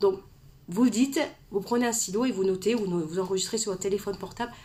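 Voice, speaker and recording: Very fast female speech, mid-range in pitch, with normal pitch movement. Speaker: author and personal development coach. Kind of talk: live stream talk to viewers. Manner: fast, gets carried away; hesitant fillers, repeats words.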